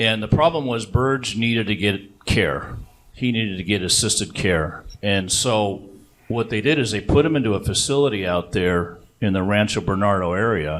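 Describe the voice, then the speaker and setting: A man talks at a moderate pace, his pitch fairly low. It is a plain, everyday voice. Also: ordinary pitch variation. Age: 60s. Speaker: reverse mortgage specialist. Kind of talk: seminar presentation.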